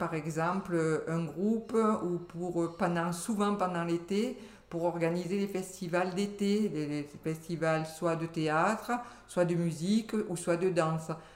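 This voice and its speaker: A woman with a fairly low pitch at a very slow pace, fairly even intonation, and noticeable background noise. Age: 60s. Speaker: retired civil servant. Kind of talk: casual interview.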